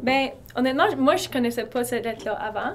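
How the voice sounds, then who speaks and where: A woman talks at a fairly quick pace with a fairly high pitch. It is an ordinary speaking voice. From eastern Ontario, Canada. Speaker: university student. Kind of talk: casual interview.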